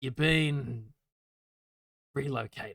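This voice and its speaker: Raspy and at medium pitch, a man's put-on character voice holds fairly even intonation. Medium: actual play. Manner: dry, curt.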